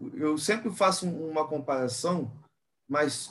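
With ordinary pitch variation and a fairly high pitch, this man has an ordinary speaking voice. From Brazil, Rio de Janeiro area (Nilópolis). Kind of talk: casual chat.

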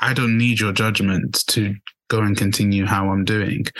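A man speaks with a fairly low pitch at a moderate pace. He has a plain, everyday voice. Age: 20s. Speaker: podcast host. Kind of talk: casual chat.

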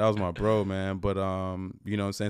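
In a very clean recording with a silent background, a man talks at a fairly low pitch. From Atlanta, US South. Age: 30s. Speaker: musician. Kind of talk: casual chat.

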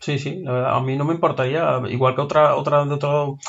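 A man's fairly high, somewhat breathy voice, very fast and monotone, with flat intonation. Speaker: film podcast co-host. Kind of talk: casual chat.

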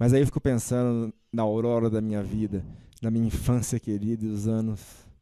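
Dark and mellow in tone, a man speaks at a medium pitch and a moderate pace. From Brazil, interior of São Paulo state (Batatais). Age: 40s. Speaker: social media page founder. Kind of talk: podcast interview.

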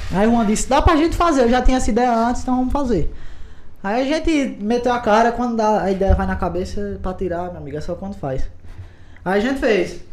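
Over noticeable background noise and audible room echo, a man talks at a fairly quick pace with lively intonation and an extremely high pitch. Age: 20s. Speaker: podcast host, guest. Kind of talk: casual chat.

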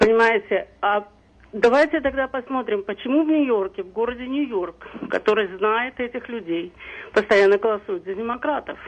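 A woman speaks at a moderate pace in a fairly high pitch, with ordinary pitch variation and big swings in loudness. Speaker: caller, social services worker. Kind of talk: call-in comment. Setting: phone call.

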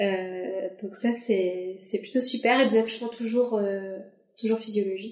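A woman speaks at a medium pitch. Audible room echo surrounds her voice. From northern France, Dunkirk. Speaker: mother sharing birth story. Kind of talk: testimony.

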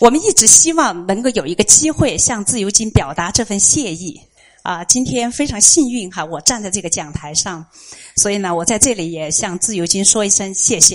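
Moving at a moderate pace, a woman speaks at medium pitch with very wide pitch swings. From Chengdu, China. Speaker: listener and parent. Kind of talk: prepared speech. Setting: bookstore event with live audience.

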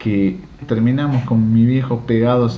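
Music plays in the background as a man talks. His pitch is fairly low, and there is audible room echo. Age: 40s. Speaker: podcast host. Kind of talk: casual monologue.

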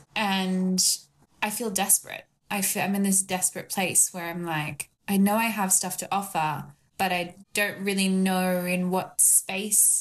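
Her voice is somewhat breathy, at a medium pitch for a woman. She speaks at a fairly slow pace with monotone, flat intonation. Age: 20s. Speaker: retreat business founder. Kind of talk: coaching conversation.

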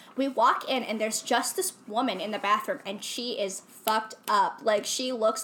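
Against noticeable background noise, a woman with an American accent speaks at a moderate pace and a fairly high pitch. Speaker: friend of the show. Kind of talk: casual chat.

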